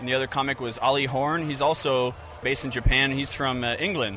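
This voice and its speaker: Someone with an American accent talks at a moderate pace while music plays in the background. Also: man. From Florida. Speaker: comedy event organizer. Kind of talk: interview.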